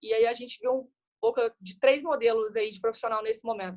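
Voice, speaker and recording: Heard in a dry, close sound with no echo, a woman with a fairly high pitch and fairly even intonation speaks at a very fast pace. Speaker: guest speaker on innovation. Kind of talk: webinar talk.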